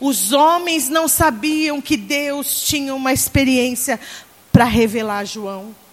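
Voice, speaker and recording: Very slow speech from a woman with a high pitch, set against noticeable background noise. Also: ordinary pitch variation. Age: 40s. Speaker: pastor. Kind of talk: sermon. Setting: church conference with congregation.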